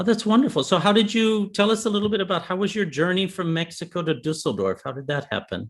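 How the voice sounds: A man speaks fast, his pitch high for a man. The pitch variation is ordinary.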